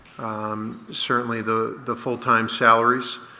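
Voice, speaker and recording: A man is speaking. There is audible room echo. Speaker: fire chief. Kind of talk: budget presentation. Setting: town hall meeting. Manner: loud.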